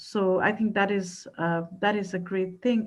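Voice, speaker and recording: This woman talks at a fairly slow pace in a medium pitch, somewhat breathy. Her intonation is monotone and flat. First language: not English. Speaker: researcher. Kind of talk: panel discussion.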